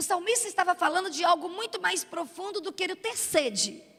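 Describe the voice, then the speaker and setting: A woman's bright, sharp voice, raised and projected. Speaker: preacher. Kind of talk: sermon.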